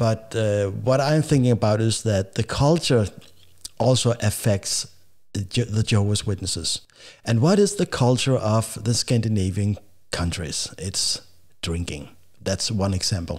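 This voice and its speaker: A man with a Danish accent speaks at a fairly low pitch and a fairly slow pace, sounding somewhat breathy. His pitch varies in an ordinary way, and the recording is very clean with a silent background. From Denmark. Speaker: podcast host. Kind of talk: casual talk to camera. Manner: hesitant, halting.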